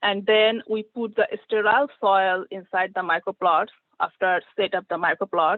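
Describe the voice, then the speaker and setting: A woman with a plain, everyday voice, at a moderate pace, with fairly even intonation. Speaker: plant pathology research scientist. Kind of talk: conference presentation with Q&A.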